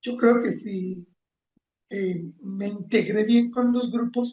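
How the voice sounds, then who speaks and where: In a Colombian accent, a man speaks at a very slow pace with a high pitch, a dark, mellow tone and fairly even intonation. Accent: Manizales accent, kept. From Colombia, Manizales (paisa region). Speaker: environmental leader and engineer. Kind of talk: interview.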